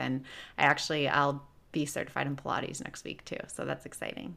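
In an American accent, a woman speaks with a very deep, low pitch and vocal fry. Her tone is bright and sharp, with ordinary pitch variation, on a very clean recording with a silent background. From US Midwest, Chicago. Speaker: health coach. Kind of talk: casual interview chat.

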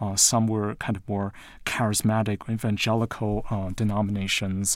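A man with an American accent has a normal speaking voice, fairly low in pitch, with fairly even intonation at a moderate pace. It is a very clean recording, silent background. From Taiwan and the US. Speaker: literature professor. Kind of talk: interview.

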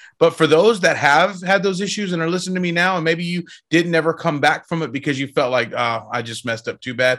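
In a very clean recording with a silent background, a man with an American accent speaks fairly quickly in a fairly high pitch, with lively intonation and a bright, sharp tone. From Texas. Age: 40s. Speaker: rock singer. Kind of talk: interview testimony. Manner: animated.

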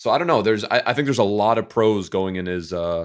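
Fairly quick and fairly low-pitched, a man talks with an American accent in a plain, everyday voice. The recording is very clean with a silent background. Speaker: FIFA player and content creator. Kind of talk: casual chat.

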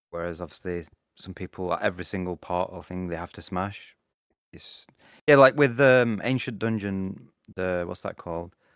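A man with a British accent and a very deep, low pitch speaks at a moderate pace with ordinary pitch variation and big swings in loudness. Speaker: podcast co-host, VR gaming. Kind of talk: casual chat, podcast. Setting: remote recording, five hours ahead. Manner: blunt, swearing.

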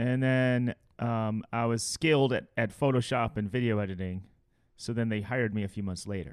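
A man talks in an ordinary speaking voice with an American accent. His medium pitch, moderate pace and fairly even intonation hold throughout. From Chicago. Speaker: comedy video editor and director. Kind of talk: casual chat.

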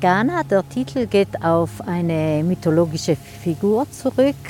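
A woman's very slow voice, fairly low in pitch, with very wide swings in pitch. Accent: South Tyrolean. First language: Ladin (speaking German). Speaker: translator and magazine editor. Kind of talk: interview. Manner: hesitant, with frequent fillers.

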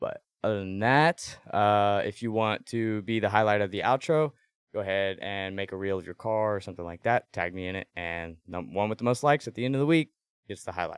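An ordinary speaking voice from a man at a fairly quick pace with ordinary pitch variation. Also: fairly low pitch for a man. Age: 20s. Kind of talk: casual interview.

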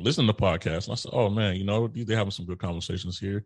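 A fairly low male voice with ordinary pitch variation over a quiet background. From Chicago, US Midwest. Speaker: military veteran and podcaster. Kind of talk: casual interview.

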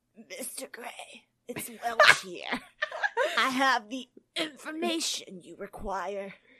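In a put-on character voice, a female-sounding voice speaks raspily at a high pitch and a very slow pace. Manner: curt, cold.

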